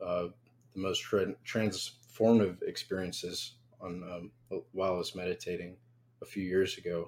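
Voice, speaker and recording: Here is an ordinary speaking voice from a man with a fairly low pitch. He talks at a moderate pace with fairly even intonation. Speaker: viewer in a group support session. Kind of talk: group therapy session.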